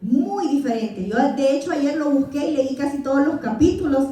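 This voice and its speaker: Someone with a Salvadoran accent speaks at a fairly slow pace, with audible room echo and noticeable background noise. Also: woman. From El Salvador. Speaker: Bible teacher. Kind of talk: Bible class lecture.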